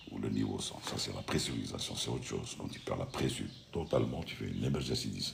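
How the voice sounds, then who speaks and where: Over noticeable background noise and audible room echo, a man speaks at a very fast pace. His voice is very deep and low, with ordinary pitch variation. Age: 60s. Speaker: retired airline pilot hosting a live stream. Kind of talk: live stream Q&A chat. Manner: casual, conversational.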